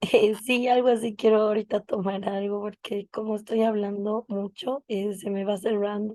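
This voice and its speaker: Her intonation is monotone and flat, and this woman's fairly high pitch carries a dark, mellow tone. She keeps a moderate pace with hardly any pauses, and the sound is dry and close with no echo. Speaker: speech therapy lecturer. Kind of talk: online lecture.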